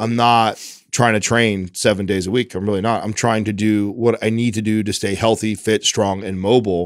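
Against a quiet background, a man speaks at a moderate pace in a fairly low, monotone voice with flat intonation, the sound dry with no echo. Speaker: podcast co-host. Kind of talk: casual podcast discussion. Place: studio. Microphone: studio mic.

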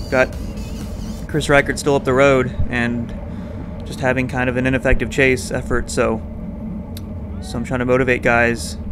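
A man at a moderate pace with ordinary pitch variation and long, frequent pauses, music in the background. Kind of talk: commentary.

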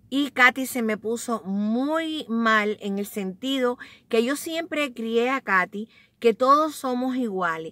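A woman speaks very slowly in a high, warm voice with ordinary pitch variation. The sound is dry, without echo. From Cuba. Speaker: vlogger. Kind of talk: casual, confiding vlog chat, story time. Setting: at home or in a car, bundled up, recording on a cold day in Staten Island. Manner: warm, chatty and affectionate, talks to viewers like close family; heartfelt, sincere and reflective when telling her life story. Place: car. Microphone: phone near.

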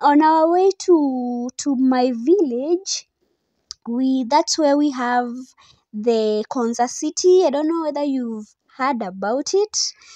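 Against a quiet background, a woman speaks at a very slow pace and a high pitch with a dark, mellow tone, the sound dry with no echo. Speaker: vlogger. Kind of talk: casual vlog chat. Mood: excited, cheerful. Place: car.

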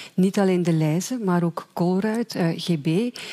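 In a Flemish accent, a woman speaks fairly slowly at medium pitch, with a dark, mellow tone and ordinary pitch variation. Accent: Flemish Dutch. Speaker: journalist. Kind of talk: explanatory summary.

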